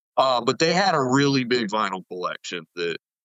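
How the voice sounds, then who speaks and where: A man with a medium-pitched voice speaks at a moderate pace with a slight Southern US accent. His intonation is lively. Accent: slight Southern twang. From US South, East Tennessee. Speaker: music producer. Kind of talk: podcast interview. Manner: casual, filler-heavy.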